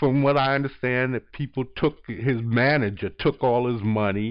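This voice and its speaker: A man is speaking. His pace is moderate. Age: 50s. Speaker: YouTuber, artist. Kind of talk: casual monologue. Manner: animated; halting.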